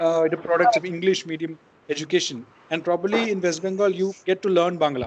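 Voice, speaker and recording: Against noticeable background noise, a high-pitched man with a Keralan accent talks at a fairly quick pace with ordinary pitch variation. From India, Kerala. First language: Malayalam. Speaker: poet. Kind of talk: online class discussion. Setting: video call. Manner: halting, many repetitions.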